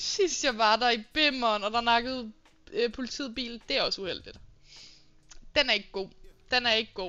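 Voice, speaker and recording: High-pitched woman's speech at a moderate pace, with ordinary pitch variation and long, frequent pauses. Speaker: live streamer. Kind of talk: casual live stream chat with viewers.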